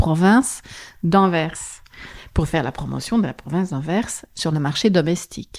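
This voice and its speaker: This woman speaks with a slight Flemish accent. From Flanders, Belgium (West Flanders, schooled in Antwerp). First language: Dutch (Flemish) (speaking French). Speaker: tourism board representative. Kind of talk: interview. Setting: office.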